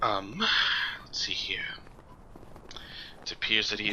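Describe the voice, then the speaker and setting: A man whispers in a put-on character voice. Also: moderate pace. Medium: actual play. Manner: fussy, officious.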